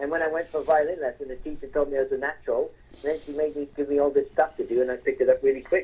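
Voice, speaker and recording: A man's fairly high voice, dark and mellow in tone, at a very fast pace with hardly any pauses, big swings in loudness and fairly even intonation. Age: 60s. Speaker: musician. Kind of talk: interview.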